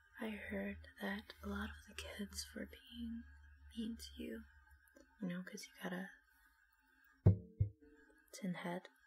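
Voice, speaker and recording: A woman speaks at a very slow pace, with long, frequent pauses. Her loudness swings widely, and faint music plays in the background. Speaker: vlogger. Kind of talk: casual vlog chat. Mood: playful, laughing. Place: home room. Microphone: earbuds.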